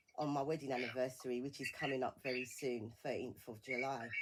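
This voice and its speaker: A woman with a British accent. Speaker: bereavement support campaigner. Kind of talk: radio interview. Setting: radio studio. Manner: halting.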